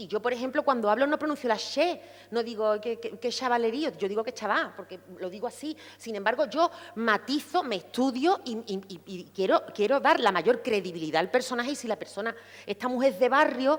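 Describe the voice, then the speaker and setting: With a Sevillian accent, a woman speaks at a fairly quick pace in a high pitch, her tone animated, her intonation lively and her loudness swinging widely. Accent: Seville Andalusian. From Andalusia, Seville. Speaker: actress. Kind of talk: panel discussion.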